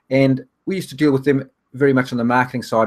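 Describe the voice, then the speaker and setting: A man with a New Zealand accent at a medium pitch, very fast, with fairly even intonation. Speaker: online business trainer. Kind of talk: webinar presentation. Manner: hesitant with fillers.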